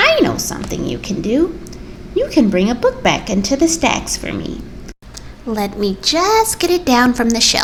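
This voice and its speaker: This woman puts on a character voice with a high pitch. She keeps a moderate pace. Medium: read story. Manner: stern, precise.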